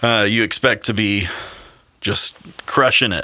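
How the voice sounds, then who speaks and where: Speaking at a fairly slow pace, a man talks with a Southern US accent. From US South, Mississippi. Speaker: worship pastor. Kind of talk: casual interview. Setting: on location.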